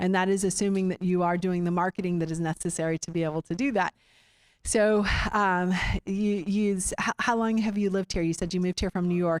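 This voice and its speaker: A woman with a Texan accent talks fairly quickly at a medium pitch with fairly even intonation. The sound is dry and close with no echo, on a very clean recording with a silent background. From Austin, Central Texas. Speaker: real estate investor meeting host. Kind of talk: meeting presentation. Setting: room with live audience. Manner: halting, many fillers.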